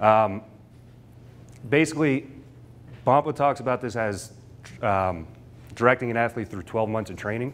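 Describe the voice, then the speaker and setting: Speaking with an American accent, a man keeps a moderate pace and a medium pitch with ordinary variation. He leaves long, frequent pauses, and his loudness swings widely. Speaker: strength and conditioning coach; conditioning coach. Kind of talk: lecture. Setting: stage with audience. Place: classroom.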